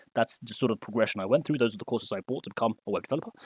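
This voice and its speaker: A man speaks at a medium pitch with fairly even intonation, recorded very cleanly against a silent background, the sound dry and close with no echo. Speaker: web developer and coding tutor. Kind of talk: tutorial. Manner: fast; hesitant, many fillers.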